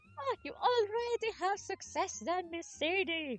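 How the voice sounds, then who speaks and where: A put-on character voice at an extremely high pitch, with faint music playing in the background. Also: fairly slow pace. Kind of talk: formal, polite.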